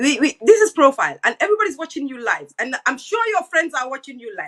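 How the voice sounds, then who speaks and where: The speaker has a Gambian accent. The pace is fairly quick. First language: Wolof. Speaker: online talk show host. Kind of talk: interview. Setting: live stream.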